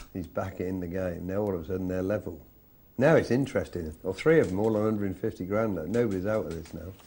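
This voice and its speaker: A man's very deep, low voice, dark and mellow in tone, at a very fast pace with ordinary pitch variation. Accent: English. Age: 60s. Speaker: poker commentator. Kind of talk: live commentary.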